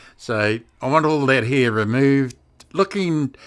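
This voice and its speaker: A man speaks in a fairly high voice. Music can be heard in the background. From South Auckland, New Zealand. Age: 60s. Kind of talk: interview answer.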